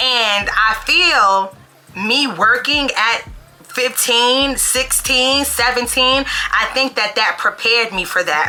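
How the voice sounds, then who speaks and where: Someone with an American accent speaks at a very slow pace with ordinary pitch variation, and noticeable background noise comes through. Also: woman, high pitch for a woman. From New York. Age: 30s. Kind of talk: casual talk to camera.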